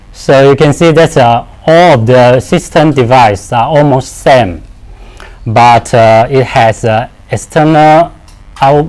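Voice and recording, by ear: Speaking at a slow pace, a man uses medium pitch with ordinary pitch variation and a slightly mellow tone.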